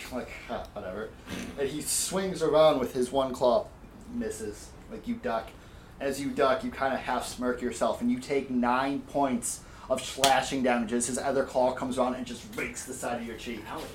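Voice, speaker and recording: A man talks at a moderate pace in a medium pitch. The room echo is audible. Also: ordinary pitch variation. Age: 30s. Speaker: dungeon master. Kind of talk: tabletop game narration. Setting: home garage. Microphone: echoey room.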